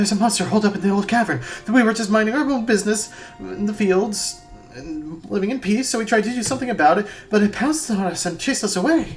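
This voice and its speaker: A put-on character voice, breathy and fairly high-pitched, at a very fast pace over clear music in the background. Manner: panicked, frightened.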